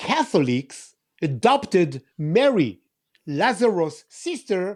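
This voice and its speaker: Very slow speech in an Israeli accent, with very wide pitch swings. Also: man. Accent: Israeli (Hebrew-accented English). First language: Hebrew. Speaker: tour guide. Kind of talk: casual discussion, explaining bible places. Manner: halting, many fillers and repeats.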